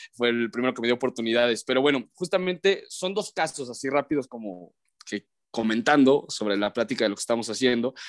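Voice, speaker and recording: A man's medium-pitched voice, very fast and with lively intonation, in a dry, close sound with no echo. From León, Guanajuato, Mexico. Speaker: sports broadcaster. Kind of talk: casual chat.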